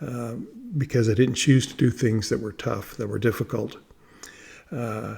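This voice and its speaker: With a dark, mellow tone and vocal fry, the speaker moves at a moderate pace, with fairly even intonation and long, frequent pauses. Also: man, medium pitch for a man. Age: 60s. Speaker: vlogger documenting a fast. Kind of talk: personal video diary. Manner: halting, many fillers and repetitions.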